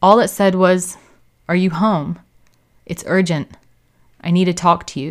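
The recording, very clean with a silent background, carries a voice with an American accent. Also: woman. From United States. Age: 30s. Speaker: podcast host. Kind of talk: scripted narration.

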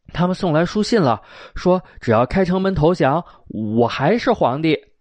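A man speaks with a Beijing accent at a fairly high pitch. His pitch swings very widely at a fairly slow pace. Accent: Beijing Mandarin. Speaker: storyteller. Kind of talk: traditional storytelling. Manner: animated; unhurried.

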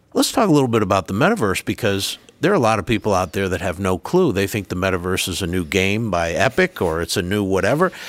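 With a Rhode Island accent, a man talks at a very fast pace with hardly any pauses, his fairly low pitch showing ordinary variation. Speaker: university president and podcast host. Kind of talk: interview, conversational.

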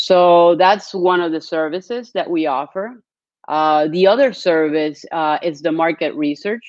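Using a Spanish accent, a woman talks at a fairly slow pace with a fairly low pitch and ordinary pitch variation. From Colombia. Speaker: business plan company sales executive. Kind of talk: webinar presentation. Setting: live stream.

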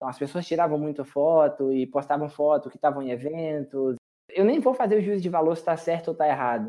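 Talking at a very fast pace, a man uses a fairly high pitch with ordinary pitch variation and a dark, mellow tone. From Brazil, western Bahia. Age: 30s. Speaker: tech professional. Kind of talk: interview.

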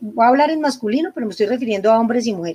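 A woman talks at a high pitch, her voice showing ordinary pitch variation. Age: 60s. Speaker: psychologist and couples therapist. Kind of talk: interview conversation.

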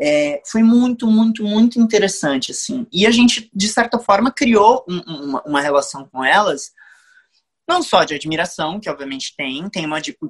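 A man's high-pitched voice with lively intonation at a moderate pace, in a dry, close sound with no echo. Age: 20s. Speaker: musical theatre actor. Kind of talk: interview.

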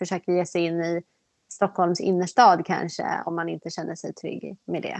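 A woman's fairly low voice is heard in a dry, close recording with no echo and a quiet background. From Sweden, just north of Stockholm. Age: 30s. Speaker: person with OCD. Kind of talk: personal testimony interview.

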